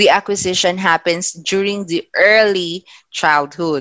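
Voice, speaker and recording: Ordinary pitch variation in a Philippine accent. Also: woman. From Philippines, Ilocano-speaking region. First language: Ilocano. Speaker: teacher. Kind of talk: lecture. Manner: measured, with filler hesitations.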